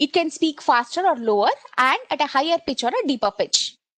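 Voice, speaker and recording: A woman with an Indian accent speaks with very wide pitch swings. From India, Kannada-speaking (Karnataka). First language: Kannada. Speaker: solution architect, tech presenter. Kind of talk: technical webinar demo. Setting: online session with screen share, headset. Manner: hesitant, many fillers.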